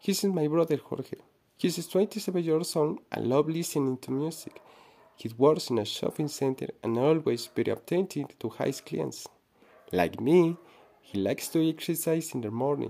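With a Spanish accent, a man speaks at a moderate pace in a fairly high, dark, mellow voice. His intonation is lively. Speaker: student. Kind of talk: reading aloud. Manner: halting.

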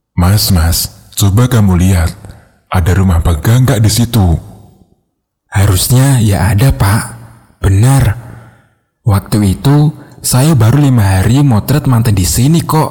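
A man with a fairly low pitch and a dark, mellow, somewhat breathy tone sounds nervous, speaking at a fairly slow pace with long, frequent pauses. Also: lively intonation, very even loudness. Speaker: horror story narrator. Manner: hushed, suspenseful, slow-paced build; shifts into characters' voices, uneasy and nervous in dialogue.

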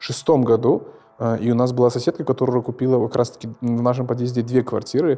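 This is a man with an ordinary speaking voice. He talks at a fairly quick pace. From Kazakhstan. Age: 20s. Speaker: mortgage borrower sharing experience. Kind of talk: casual chat.

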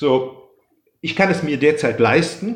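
A man's fairly high, somewhat breathy voice with lively intonation at a very slow pace. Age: 60s. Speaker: pension law expert and writer. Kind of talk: expert interview. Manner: halting.

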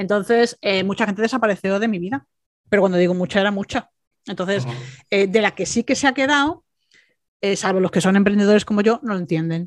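Recorded very cleanly against a silent background, dry and close with no echo, a woman talks at a very fast pace. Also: medium pitch for a woman, ordinary pitch variation. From Andalusia, Málaga. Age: 40s. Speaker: entrepreneurship coach. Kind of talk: interview.

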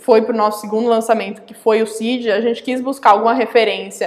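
Over noticeable background noise, a woman talks at a fairly quick pace, her fairly high pitch held in fairly even intonation. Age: 20s. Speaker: real estate company CEO. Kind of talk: interview. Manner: halting, many fillers.

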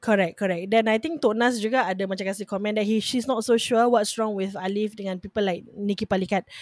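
A woman with an unremarkable speaking voice and a fairly high pitch talks at a fairly quick pace, hardly pausing, her intonation fairly even. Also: dry, close sound with no echo. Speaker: podcast co-host. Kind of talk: casual chat.

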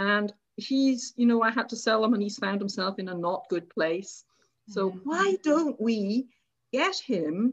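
Against a quiet background, a woman with a somewhat breathy, fairly high voice speaks at a fairly slow pace, her intonation lively. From Ireland. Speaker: horse trainer. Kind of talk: casual interview chat. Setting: video call.

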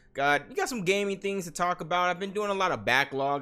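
With music playing behind him, a man talks at a very fast pace. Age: 30s. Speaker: gaming and fitness podcast host. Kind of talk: casual solo podcast monologue. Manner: animated.

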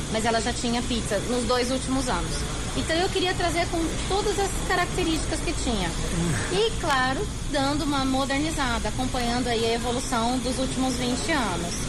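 High-pitched, lively intonation from a woman at very even loudness, with audible room echo and music in the background. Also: moderate pace. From Mato Grosso do Sul, Brazil (Três Lagoas). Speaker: ice cream shop owner. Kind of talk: radio interview.

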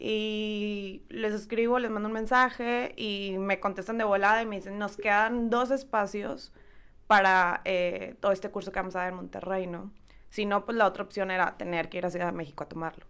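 A woman uses an ordinary speaking voice at medium pitch, moderate pace, and fairly even intonation. The recording is very clean, with a silent background. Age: 20s. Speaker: entrepreneur, massage therapist. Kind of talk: casual interview chat.

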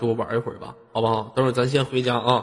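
A man talks very fast. His pitch is medium. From Changchun, northeast China. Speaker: live-stream chat host. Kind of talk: live-stream call-in chat. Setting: online voice live stream. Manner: animated.

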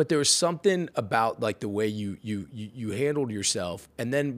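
With an American accent, a man talks at a fairly quick pace in a normal speaking voice at medium pitch, on a very clean recording with a silent background. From Washington DC. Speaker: podcast host. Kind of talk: casual interview.

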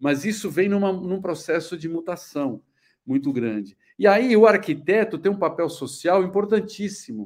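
A man's high-pitched voice with lively intonation and a moderate pace, on a very clean recording against a silent background. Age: 60s. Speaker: architecture business and marketing consultant. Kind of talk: panel discussion.

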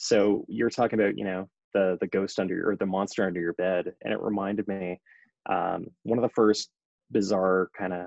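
An ordinary speaking voice with a Canadian accent. It moves at a fairly quick pace with ordinary pitch variation. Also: man. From Canada, Toronto. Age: 30s. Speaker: social media content creator. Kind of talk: casual chat.

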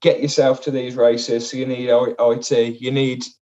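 A man with an English accent speaks at a moderate pace in a dark, mellow tone of medium pitch. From England. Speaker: comedian. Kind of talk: casual chat.

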